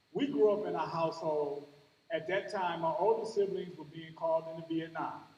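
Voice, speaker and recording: With an American accent, a man speaks at a moderate pace with ordinary pitch variation amid audible room echo. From US Midwest, Cleveland, Ohio. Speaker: commencement speaker, college outreach educator. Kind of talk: commencement speech. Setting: graduation ceremony with audience. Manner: animated.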